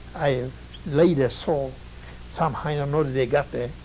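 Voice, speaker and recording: Noticeable background noise sits under a man who talks at a fairly slow pace. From Poland. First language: Polish. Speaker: Holocaust survivor. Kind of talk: testimony. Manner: halting.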